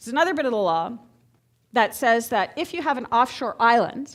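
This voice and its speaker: A woman with a plain, everyday voice speaks at a fairly quick pace, her fairly high pitch moving in lively intonation over a very clean recording with a silent background. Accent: Canadian. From Canada, Montreal, Quebec. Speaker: geopolitics lecturer. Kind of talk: lecture. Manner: conversational, audience-engaging.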